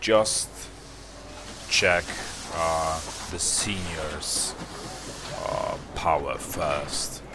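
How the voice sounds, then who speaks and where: Noticeable background noise and audible room echo surround this recording. A man with a non-native accent speaks at a very slow pace. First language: not English. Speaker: gaming youtuber. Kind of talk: gameplay commentary. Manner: halting.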